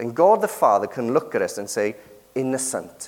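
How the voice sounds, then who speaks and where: This man has a British accent and a fairly high pitch. His pace is moderate, and his pitch swings very widely. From Britain. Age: 30s. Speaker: preacher. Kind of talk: sermon.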